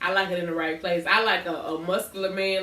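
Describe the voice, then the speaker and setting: An animated woman at a fairly quick pace, with noticeable background noise. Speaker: podcast co-host. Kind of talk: casual chat. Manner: loud.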